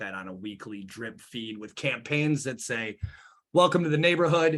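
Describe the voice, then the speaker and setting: Lively intonation marks this man's fairly quick speech. The recording is very clean, with a silent background. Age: 30s. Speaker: marketing agency owner. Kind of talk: interview. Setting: live stream. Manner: fast.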